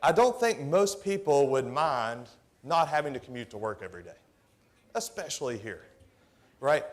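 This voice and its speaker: An animated man with a slight Tennessee accent, fairly high in pitch, with very wide pitch swings, big swings in loudness, a moderate pace and long, frequent pauses. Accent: subtle Tennessee. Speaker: government technology executive. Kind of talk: conference presentation. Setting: stage with audience. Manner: conversational, animated.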